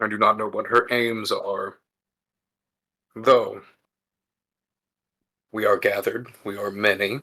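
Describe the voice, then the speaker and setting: A man's raspy put-on character voice at a medium pitch, with a fairly slow pace and long, frequent pauses. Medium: actual play. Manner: formal, measured.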